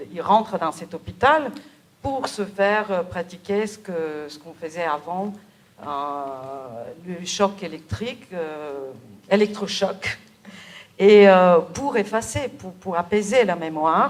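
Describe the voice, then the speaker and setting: A woman with a fairly low pitch speaks at a very slow pace, her intonation lively and her loudness swinging widely. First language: Bulgarian (speaking French). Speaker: novelist. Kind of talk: interview. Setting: theatre event with audience. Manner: hesitant, many fillers.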